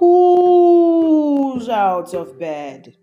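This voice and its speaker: This is a put-on character voice pitched high. It moves in very wide pitch swings. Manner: menacing.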